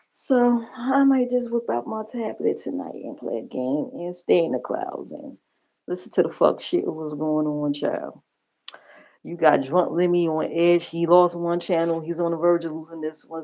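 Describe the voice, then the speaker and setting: Speaking at a fairly slow pace, a woman with a fairly low pitch lets her voice swing very widely up and down. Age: 50s. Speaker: livestreamer. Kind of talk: casual livestream commentary.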